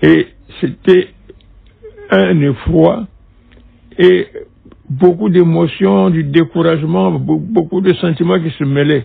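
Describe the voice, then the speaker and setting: A man with a fairly high voice speaks at a very slow pace, leaving long, frequent pauses. His pitch swings very widely. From Republic of the Congo (Brazzaville). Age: 80s+. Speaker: former minister and diplomat, witness. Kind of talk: interview testimony. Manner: halting, with many hesitations.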